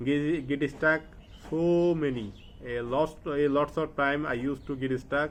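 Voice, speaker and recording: This man has a Bengali accent and a fairly high pitch. He talks at a very slow pace with fairly even intonation. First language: Bangla. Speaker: English learner vlogger. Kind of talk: casual vlog monologue. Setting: at home study table, to camera. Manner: halting, with many fillers; not fluent.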